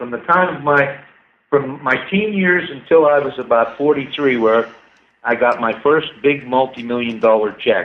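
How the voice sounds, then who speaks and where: Using a plain, everyday voice, a man speaks at a moderate pace, and his pitch varies in an ordinary way. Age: 60s. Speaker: inventor and scientist. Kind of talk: casual chat. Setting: radio show.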